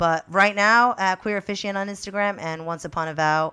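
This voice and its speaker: Over a very clean recording with a silent background, a woman speaks in a normal speaking voice with an American accent. Her pace is fairly quick and her intonation fairly even. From Peru, raised in the US from age six. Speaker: wedding officiant, former teacher. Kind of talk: casual interview.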